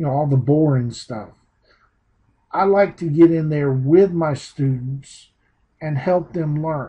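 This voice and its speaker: A man's fairly high, somewhat breathy voice with a Southern US accent, at a fairly slow pace with long, frequent pauses. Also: ordinary pitch variation. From US South. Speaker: teacher turned online marketing trainer. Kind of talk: online training presentation. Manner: casual, unpolished.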